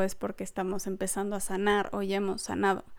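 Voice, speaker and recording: Here a woman speaks at a medium pitch. The recording is very clean, with a silent background. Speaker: podcast host. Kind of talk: solo podcast talk. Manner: laughs often while talking.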